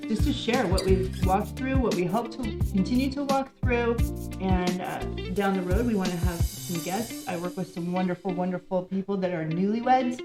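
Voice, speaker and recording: Music plays in the background as a woman speaks at a moderate pace. Her medium-pitched voice has lively intonation. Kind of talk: casual talk to camera.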